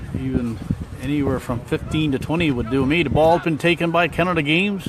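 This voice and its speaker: Over noticeable background noise, a man with a Newfoundland accent speaks at a fairly quick pace and a fairly high pitch. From Newfoundland, St. Lawrence. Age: 60s. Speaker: amateur sports commentator and live streamer. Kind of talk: live commentary. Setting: outdoors at a sports field.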